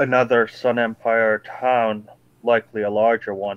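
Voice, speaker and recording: A man puts on a character voice. His pitch is medium and his intonation monotone and flat. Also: moderate pace. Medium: actual play. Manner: solemn, measured.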